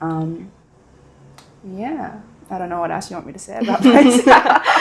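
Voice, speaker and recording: With a New Zealand accent, a woman at medium pitch speaks at a moderate pace, her pitch swinging very widely and her loudness rising and falling a lot. Noticeable background noise sits behind her. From New Zealand, Dunedin. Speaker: law student. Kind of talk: casual chat.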